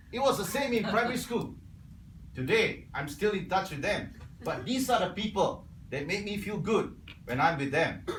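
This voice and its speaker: Over noticeable background noise and audible room echo, a man talks with a Cantonese accent in a high pitch for a man. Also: lively intonation, moderate pace. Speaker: Toastmasters club member. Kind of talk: prepared speech.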